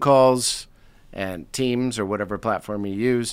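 In a plain, everyday voice with an American accent, a man talks at a fairly slow pace with ordinary pitch variation on a very clean recording with a silent background. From United States. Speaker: leadership consultant and author. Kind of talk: interview conversation. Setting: studio.

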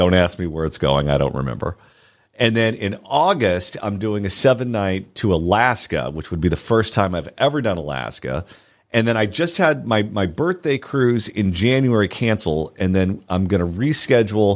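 A man with an American accent in a normal speaking voice, fairly low-pitched, with lively intonation and a moderate pace on a very clean recording with a silent background. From Southern California. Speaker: radio host. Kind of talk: casual chat. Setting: studio.

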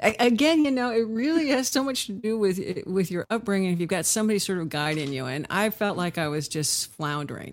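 A woman with a Californian accent at a fairly quick pace, medium in pitch, with very wide pitch swings and hardly any pauses, on a very clean recording with a silent background. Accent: Californian American. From Southern California (Huntington Beach). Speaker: session and touring guitarist. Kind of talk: casual interview chat.

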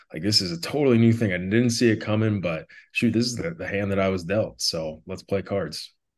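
With an Upper Midwest accent, a man talks at a fairly quick pace in a fairly low pitch, his intonation lively. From North Dakota, south central. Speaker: motivational speaker. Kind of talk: interview, personal testimony.

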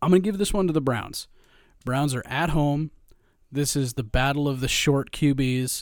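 A man at a fairly high pitch, talking at a moderate pace on a very clean recording with a silent background. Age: 30s. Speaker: podcast co-host. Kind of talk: casual chat. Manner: animated.

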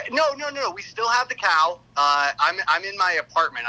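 A man's bright, sharp, energetic tone swings very widely in pitch as he speaks at a moderate pace. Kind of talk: casual chat. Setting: phone call.

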